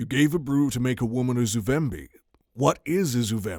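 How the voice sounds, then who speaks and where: A soft-spoken man in a put-on character voice, medium in pitch, with lively intonation at a moderate pace. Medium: read story. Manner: soft but insistent.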